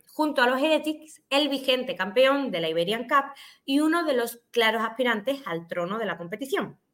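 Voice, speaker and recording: Using a normal speaking voice, a woman talks at a moderate pace and fairly high pitch with lively intonation. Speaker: esports podcast co-host. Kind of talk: casual chat.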